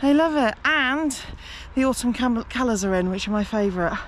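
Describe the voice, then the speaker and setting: A woman with an English accent talks with very wide pitch swings. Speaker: travel vlogger. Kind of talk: casual vlog narration.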